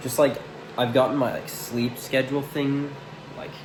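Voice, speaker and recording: A man talks at a moderate speed, with audible room echo and noticeable background noise around him. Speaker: vlogger documenting self-improvement. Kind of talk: casual vlog monologue. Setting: own room, on camera. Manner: hesitant, filler-heavy; quiet, mumbly.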